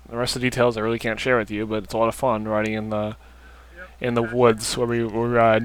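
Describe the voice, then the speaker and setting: Over noticeable background noise, a man speaks at a very fast pace. His pitch is medium and his intonation monotone and flat. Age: 20s. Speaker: dirt bike vlogger. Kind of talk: casual video commentary. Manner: hesitant, many fillers.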